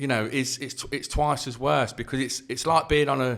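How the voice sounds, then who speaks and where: A man in an East Midlands accent with a medium pitch at a moderate pace. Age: 40s. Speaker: author and youth worker. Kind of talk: podcast interview.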